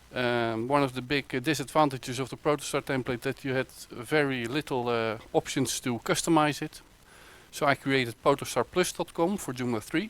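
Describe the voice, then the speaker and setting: A man talks with a Dutch accent at medium pitch with ordinary pitch variation. The sound is dry and close with no echo. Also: moderate pace. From Netherlands. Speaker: web developer. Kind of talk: conference talk. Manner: halting, many fillers.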